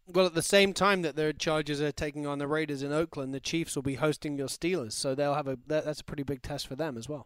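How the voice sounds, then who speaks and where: A man with an English accent, fairly high-pitched and fairly even in intonation, very fast with hardly any pauses, dry and close with no echo, in a very clean recording against a silent background. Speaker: football podcast co-host. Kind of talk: casual chat. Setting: studio.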